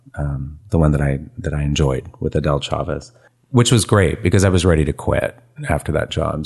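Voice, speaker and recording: A man with a West Coast accent. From San Francisco Bay Area. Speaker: photographer. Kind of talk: casual chat.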